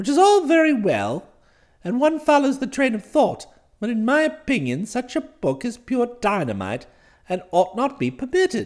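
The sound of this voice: A man puts on a character voice, pitched extremely high, with very wide pitch swings. He keeps a moderate pace and a slightly mellow tone.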